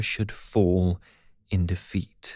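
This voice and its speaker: Very slowly, a man speaks with a British accent. The recording is very clean and dry, close with no echo and a silent background. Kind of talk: audiobook fable reading.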